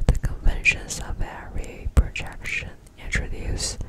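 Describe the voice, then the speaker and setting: Someone whispers over noticeable background noise. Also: woman. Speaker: ASMR content creator. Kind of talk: whispered book reading, ASMR. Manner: whispered, soft.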